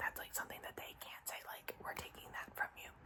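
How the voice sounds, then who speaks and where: Noticeable background noise accompanies a woman's whispering. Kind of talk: ASMR whisper ramble. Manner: whispered.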